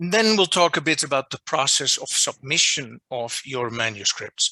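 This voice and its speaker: A man speaks with a Dutch accent. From Netherlands. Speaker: journal editor giving a workshop. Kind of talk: lecture. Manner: deliberately not too fast.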